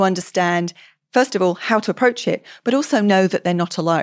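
A woman speaks in a medium pitch with a British accent. The sound is dry and close with no echo, on a very clean recording with a silent background. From England, London area. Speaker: charity chief executive. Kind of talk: interview. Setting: podcast recording.

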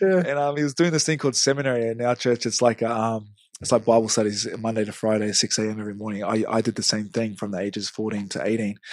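A man talks very fast in a New Zealand accent. His pitch rises and falls in an ordinary way. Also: medium pitch for a man, hardly any pauses. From New Zealand, Hamilton. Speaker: rugby league player. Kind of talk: casual interview.

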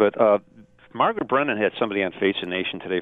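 A man with an American accent speaks at a very fast pace. His pitch is fairly low, with ordinary variation. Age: 60s. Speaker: caller. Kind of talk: call-in talk radio. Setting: phone call.

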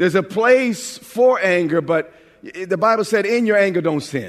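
With an animated tone and lively intonation, a man speaks at a high pitch. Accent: American. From New York. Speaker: pastor. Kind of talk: sermon.

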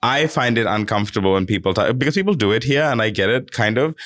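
In a very clean recording with a silent background, a man speaks very fast at medium pitch with ordinary pitch variation. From Fiji. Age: 20s. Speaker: podcast co-host. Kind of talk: casual chat. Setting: studio.

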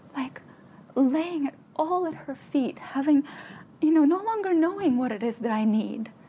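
A woman with a high pitch speaks with long, frequent pauses over noticeable background noise. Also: lively intonation, moderate pace. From Ukraine. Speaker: spiritual teacher and healer. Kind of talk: casual chat.

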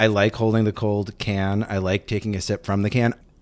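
On a very clean recording with a silent background, a man with an ordinary speaking voice talks at a moderate pace and a fairly low pitch. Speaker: podcast producer. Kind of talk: casual chat.

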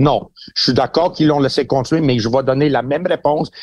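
A man's fairly high voice, an ordinary speaking voice, at a fairly quick pace with ordinary pitch variation. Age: 60s. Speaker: boxing trainer and pundit. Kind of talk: casual chat.

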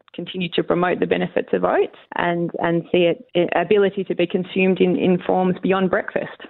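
Speaking with an Australian accent, a woman keeps a moderate pace with hardly any pauses, a fairly low pitch and fairly even intonation. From Western Australia, Wheatbelt (York). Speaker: grain industry executive. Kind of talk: radio interview.

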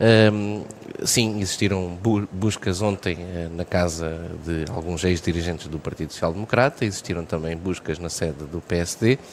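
A man's very deep, low voice at a fairly slow pace, with ordinary pitch variation and noticeable background noise. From Portugal, Vagos (Aveiro region). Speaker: mayor and politician. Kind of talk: radio interview. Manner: halting.

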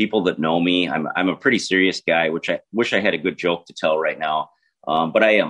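Very deep, low male voice with fairly even intonation. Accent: Minnesota. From southern Minnesota. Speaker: congressional candidate and agricultural lawyer. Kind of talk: political interview.

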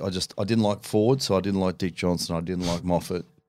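A man's very deep, low voice in an Australian accent, very fast and fairly even in intonation, on a very clean recording with a silent background. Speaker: retired rugby league player and race driver. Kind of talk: casual chat.

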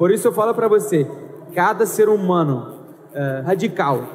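A man's high voice in a non-native accent, over noticeable background noise. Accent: foreign accent in Portuguese. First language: Arabic (speaking Portuguese). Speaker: actor. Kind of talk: live panel talk. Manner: halting.

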